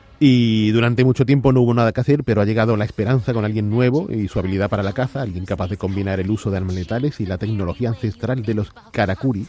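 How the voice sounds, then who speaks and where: Speaking at a very fast pace with hardly any pauses, a man keeps a fairly low pitch with ordinary pitch variation. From Andalusia, Barbate (Cádiz). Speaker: video game expert commentator. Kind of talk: casual chat.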